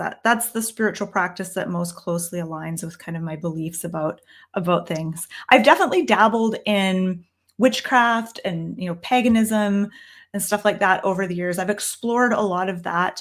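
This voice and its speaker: A woman with an ordinary speaking voice, medium in pitch and ordinary in pitch variation, speaks with a Canadian accent on a very clean recording with a silent background. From Canada. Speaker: tarot reader and teacher. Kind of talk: live stream Q&A. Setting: downstairs room, live stream on laptop. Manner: casual, with many fillers.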